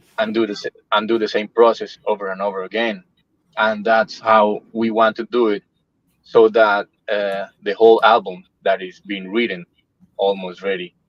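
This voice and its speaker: A man with a Spanish accent speaks at a moderate pace in a fairly low pitch with monotone, flat intonation, the sound dry and close with no echo. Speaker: metal band musician. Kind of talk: casual interview.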